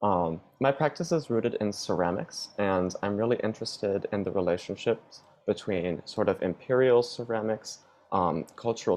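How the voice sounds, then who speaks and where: Here is a man with a plain, everyday voice and an American accent, pitched fairly low. His intonation is lively and his pace moderate. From upstate New York, US. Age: 20s. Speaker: ceramic artist. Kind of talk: interview.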